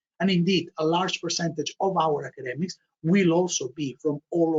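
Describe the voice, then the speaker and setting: This speaker has a Spanish accent. The pace is fairly quick. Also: man. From Spain, Barcelona. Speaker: MBA programme director. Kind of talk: online information session presentation. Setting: online webinar.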